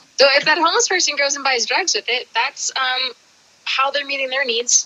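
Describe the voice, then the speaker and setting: A high-pitched woman at a fairly quick pace, over noticeable background noise. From Kentucky. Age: 40s. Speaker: interviewee, skateboarder and street outreach volunteer. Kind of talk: casual chat. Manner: animated, halting with many fillers. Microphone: on her phone.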